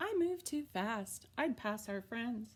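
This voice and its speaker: A woman puts on a character voice with fairly high pitch. She delivers it at a fairly slow pace. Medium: read story.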